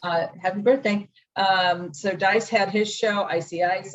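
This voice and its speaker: A woman speaks at a medium pitch with a somewhat breathy sound. Her intonation stays fairly even. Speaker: radio host. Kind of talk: podcast interview answer.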